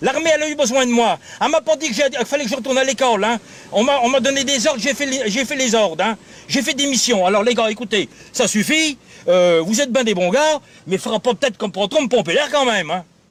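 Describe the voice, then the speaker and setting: A man talks at a very fast pace in an extremely high pitch, his tone animated and his intonation lively, over noticeable background noise. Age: 60s. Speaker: farmer. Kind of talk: casual chat.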